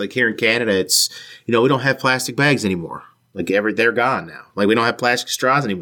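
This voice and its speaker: In a strong Newfoundland accent, the voice has a bright, sharp tone and ordinary pitch variation, on a very clean recording with a silent background. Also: man. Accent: Newfoundland accent, thick. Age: 30s. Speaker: podcast host. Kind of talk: interview. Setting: home basement.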